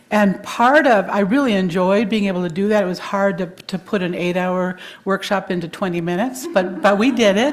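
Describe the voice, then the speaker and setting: With an American accent, a woman of medium pitch talks at a fairly quick pace with hardly any pauses and ordinary pitch variation, her voice carrying audible room echo. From Wisconsin. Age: 70s. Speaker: therapist. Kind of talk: sermon.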